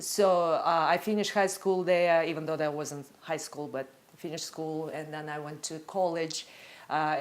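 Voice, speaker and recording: This woman's voice is very deep and low. She talks at a moderate pace. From Russia. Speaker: photographer. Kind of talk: interview testimony. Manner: halting.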